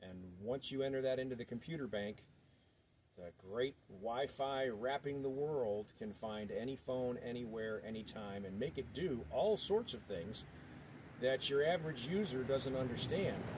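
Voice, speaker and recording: A man speaks with a normal speaking voice at medium pitch. His intonation is lively and his pace moderate. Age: 60s. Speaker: video blogger. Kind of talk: casual monologue.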